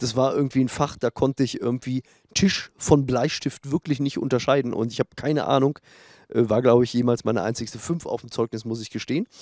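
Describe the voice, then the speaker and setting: Against a quiet background, a man speaks at a fairly quick pace with fairly even intonation and a dry sound with no echo. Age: 40s. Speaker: gaming YouTuber. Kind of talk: casual Q&A vlog. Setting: home studio, sunny room. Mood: relaxed, joking. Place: garden. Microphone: handheld.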